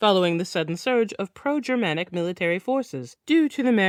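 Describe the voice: The delivery is plain reading aloud, and the intonation is lively.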